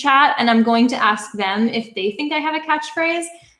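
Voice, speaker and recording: A woman with a Canadian accent speaks at a fairly quick pace in a high pitch. Her intonation is lively, and there is noticeable background noise. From Canada. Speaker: YouTuber. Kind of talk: livestream Q&A. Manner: casual, filler-heavy.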